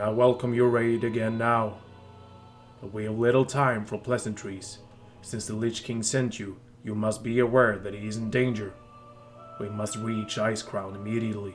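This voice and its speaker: Using a put-on character voice, a man delivers his lines in a flat monotone with long, frequent pauses as clear music plays in the background. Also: medium pitch for a man, moderate pace. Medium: read story. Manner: smug, mocking.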